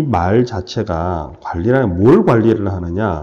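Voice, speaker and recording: A man speaks very slowly in a dark, mellow tone. Audible room echo is present. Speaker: financial asset management lecturer. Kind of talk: lecture.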